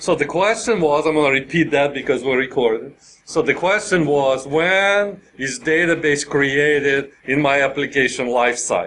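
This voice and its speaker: A man with a plain, everyday voice speaks at a moderate pace in a fairly high pitch for a man, with ordinary pitch variation, very even loudness and hardly any pauses. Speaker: software developer and conference speaker. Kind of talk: technical conference talk with live coding. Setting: conference room with live audience.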